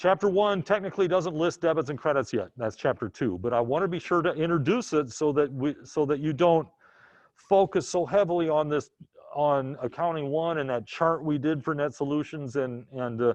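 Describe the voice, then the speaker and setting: Against a quiet background, a man speaks in a plain, everyday voice, fairly high-pitched, at a moderate pace with ordinary pitch variation. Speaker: accounting instructor. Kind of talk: lecture.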